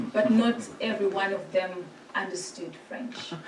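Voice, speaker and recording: Fairly slow, fairly even-toned speech amid noticeable background noise and audible room echo. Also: woman. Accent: Zimbabwean. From Zimbabwe. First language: Shona. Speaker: priest. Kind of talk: presentation to a church synod.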